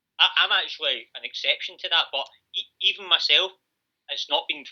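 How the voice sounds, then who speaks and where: A man with a Glaswegian accent, at a fairly quick pace. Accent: Glaswegian Scottish. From Scotland, Glasgow area. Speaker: podcast host. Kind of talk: casual chat.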